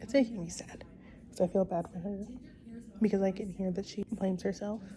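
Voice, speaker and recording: The delivery is fairly quick, with noticeable background noise behind it. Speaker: vlogger. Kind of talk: casual vlog talk to camera. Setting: at home at night.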